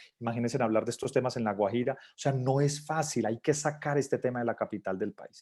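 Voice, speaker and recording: The pitch variation is ordinary. It is a man's voice. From Colombia, Manizales. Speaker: LGBT business chamber spokesperson. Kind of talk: virtual talk with Q&A. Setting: video call. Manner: fast.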